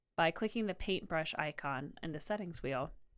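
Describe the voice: The tone is clear and smooth, with lively intonation at a moderate pace. The recording is very clean, with a silent background. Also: woman.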